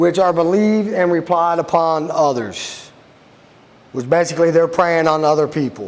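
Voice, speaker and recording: A man speaks loudly in a high pitch. There is noticeable background noise. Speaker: sheriff's deputy. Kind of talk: public talk / presentation. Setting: room with live audience.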